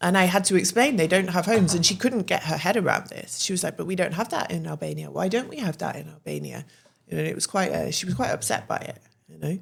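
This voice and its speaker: A woman with a British accent at a very fast pace, with big swings in loudness. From England. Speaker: podcast guest, English woman living in Albania. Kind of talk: casual chat.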